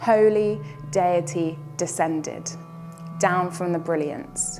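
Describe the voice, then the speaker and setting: Clear music plays behind a woman who speaks very slowly at a fairly low pitch with ordinary pitch variation. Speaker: spoken word poet. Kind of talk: spoken word poetry performance. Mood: earnest, expressive, hopeful. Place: home room.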